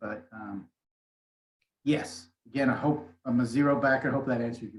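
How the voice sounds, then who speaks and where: Soft-spoken and medium-pitched, a man talks at a moderate pace with fairly even intonation. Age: 60s. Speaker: motivational speaker. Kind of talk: interview. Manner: halting.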